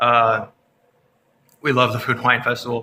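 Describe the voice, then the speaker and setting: The man speaks at a fairly quick pace. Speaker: Disney theme park vlogger. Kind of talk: casual vlog chat. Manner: animated; fast.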